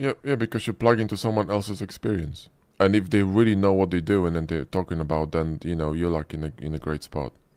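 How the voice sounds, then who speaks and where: In a very clean recording with a silent background, a man with a very deep, low pitch talks at a very fast pace with ordinary pitch variation. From Poland. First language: Polish. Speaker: 3D modeling instructor. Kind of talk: live stream Q&A.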